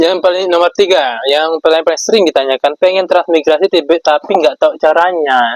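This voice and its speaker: Fairly quick speech from a man in a Sulawesi accent, fairly high in pitch, with a dry, close sound and no echo. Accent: Sulawesi accent rather than Javanese. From Java, Indonesia. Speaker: vlogger, transmigrant farmer. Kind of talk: casual Q&A vlog. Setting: at home at iftar meal.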